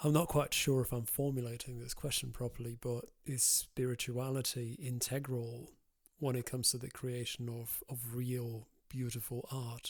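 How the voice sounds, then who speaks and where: Somewhat breathy and flat in intonation, a man speaks at a moderate pace and a medium pitch. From Europe. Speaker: podcast host. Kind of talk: interview questions. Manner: measured, articulate.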